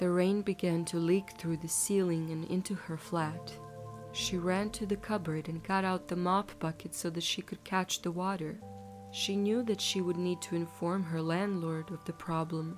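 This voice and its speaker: Over background music, a woman speaks in a fairly low pitch. Her pace is moderate and her intonation monotone and flat. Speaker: bedtime story narrator. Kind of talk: bedtime story narration.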